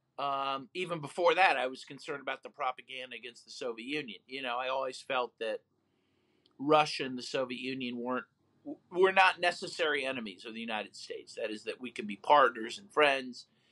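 Against a quiet background, a man speaks at a fairly quick pace with a bright, sharp tone. His loudness swings widely while his pitch varies in an ordinary way. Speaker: human rights lawyer and author; interview guest. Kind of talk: interview. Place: home room. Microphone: video call.

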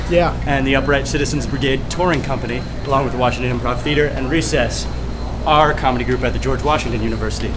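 A man talks at a very fast pace as music sounds in the background. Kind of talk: casual interview answer. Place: hall. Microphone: phone near.

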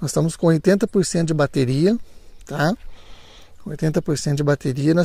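The man's fairly high voice has a dark, mellow tone. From Brazil, São Paulo state (Santo Antônio do Pinhal). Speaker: drone YouTuber. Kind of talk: vlog narration. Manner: animated.

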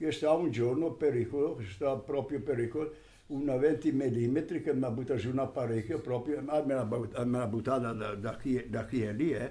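Medium in pitch, a man's voice carries a dark, mellow tone with ordinary pitch variation. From Trentino, northern Italy. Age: 80s+. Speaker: war veteran. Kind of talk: interview answer. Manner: elderly storyteller, rambling.

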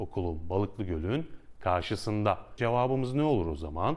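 An unremarkable speaking voice from a man, fairly low in pitch, with lively intonation. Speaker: Turkish language teacher. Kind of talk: tutorial. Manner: clear, slow, repeats phrases for learners.

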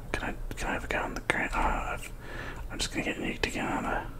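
A man whispers at a very fast pace. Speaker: gamer. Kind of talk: ASMR gaming commentary. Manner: whispered. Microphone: studio mic.

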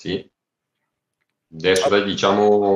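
Over a quiet background, a man speaks at a moderate pace with audible room echo. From Lombardy. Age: 40s. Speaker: crossdresser and story writer; interview guest. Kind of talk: casual interview. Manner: halting. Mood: relaxed, friendly. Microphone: video call.

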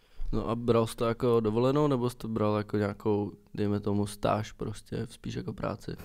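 Barely pausing, a man moves along at a fairly quick pace with fairly even intonation. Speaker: podcast host. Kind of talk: casual chat. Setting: studio.

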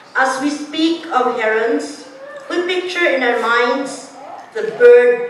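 A woman speaks at a high pitch and a very slow pace. Noticeable background noise runs under her voice. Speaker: poet. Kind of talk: poetry reading, tribute poem read aloud to an audience. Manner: measured, solemn, heartfelt delivery with a warm, rhythmic cadence.

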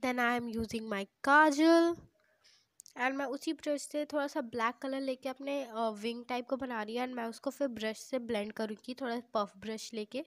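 At a fairly slow pace and with fairly even intonation, the voice sounds dry and close with no echo on a very clean recording with a silent background. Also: woman, high pitch for a woman. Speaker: beauty YouTuber. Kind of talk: makeup tutorial voiceover.

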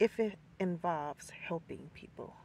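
A woman with a fairly low pitch and vocal fry talks slowly in a slightly mellow tone with ordinary pitch variation.

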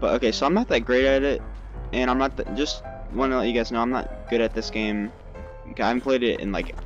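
A man speaks in a dry sound with no echo. Clear music plays in the background. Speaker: gamer commentator. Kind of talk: casual gameplay commentary. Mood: light, self-deprecating.

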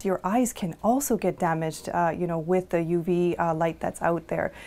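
Fairly low in pitch, a woman talks at a fairly quick pace. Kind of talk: interview answer. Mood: calm, informative. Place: office.

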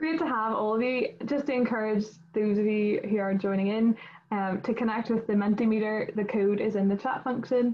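At a moderate pace, a woman with a Northern Irish accent speaks at a fairly high pitch, her loudness very even. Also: fairly even intonation. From Northern Ireland. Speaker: student committee chairperson and event host. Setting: video call. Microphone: video call.

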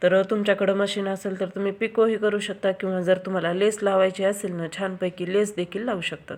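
Flat, monotone delivery from a woman at a medium pitch. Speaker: sewing and craft video creator. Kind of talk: tutorial.

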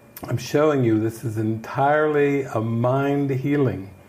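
Noticeable background noise fills the recording. Over it, a man is talking. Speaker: spiritual teacher leading an online retreat. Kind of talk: spiritual teaching session. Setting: online video session from a studio. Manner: animated.

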